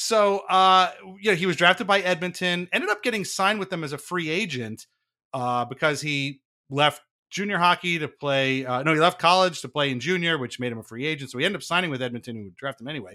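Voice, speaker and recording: A very fast man's voice, fairly high in pitch and bright and sharp in tone, on a very clean recording with a silent background. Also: big swings in loudness. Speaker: podcast host. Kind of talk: casual chat.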